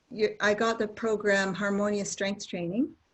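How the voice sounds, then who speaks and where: A woman speaks at a fairly slow pace in a medium-pitched, somewhat breathy voice with fairly even intonation. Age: 60s. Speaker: student asking questions. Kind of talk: Q&A session.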